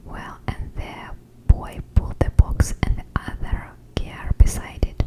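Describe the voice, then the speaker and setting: Whispering very slowly in a Russian accent, a woman can be heard over noticeable background noise. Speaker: ASMR creator. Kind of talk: ASMR book reading.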